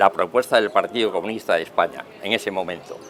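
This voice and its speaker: Noticeable background noise behind a man with a fairly quick pace. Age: 70s. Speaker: political talk show panelist. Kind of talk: panel debate. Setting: restaurant terrace.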